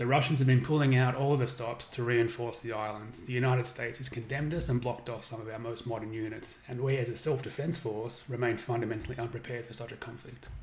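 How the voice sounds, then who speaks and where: A man talking very fast in a flat monotone, with hardly any pauses and noticeable background noise. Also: medium pitch for a man. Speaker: game developer streaming gameplay. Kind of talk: reading aloud a game briefing on a live stream. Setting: live stream with chat.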